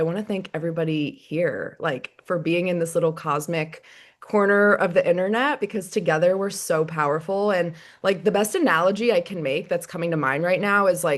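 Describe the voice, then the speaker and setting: A woman speaks with a fairly low pitch and ordinary pitch variation. The background is quiet. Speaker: online community host. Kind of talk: casual group video chat. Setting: video call from bed. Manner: fast.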